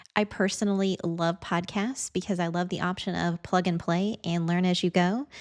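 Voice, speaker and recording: With an American accent, a woman speaks at a moderate pace and medium pitch, with hardly any pauses and fairly even intonation. The recording is very clean, with a silent background. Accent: Southern with a little Midwest. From US Midwest, Indiana. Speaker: video editing teacher and content creator. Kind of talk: podcast introduction monologue.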